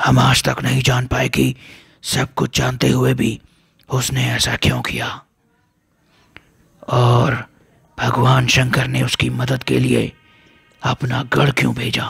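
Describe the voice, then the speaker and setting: A man's raspy, put-on character voice, broken by long, frequent pauses. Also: fairly slow pace. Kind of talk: mythological storytelling. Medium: read story. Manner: calm, measured, dignified.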